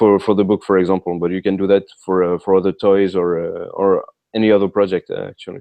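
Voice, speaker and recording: A man talks at a very fast pace with a French accent. His fairly low voice holds a monotone, flat intonation. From France. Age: 30s. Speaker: author. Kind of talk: interview. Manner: halting, many fillers.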